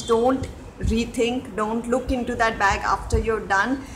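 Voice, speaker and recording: A woman's fairly high voice with a Telugu accent, with audible room echo. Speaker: home vlogger. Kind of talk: tutorial. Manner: halting, many fillers. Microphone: network issues.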